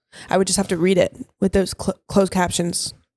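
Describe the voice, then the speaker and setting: A woman at medium pitch and a fairly quick pace. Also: dry, close sound with no echo. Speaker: college dance team member. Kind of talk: casual chat. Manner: soft-spoken.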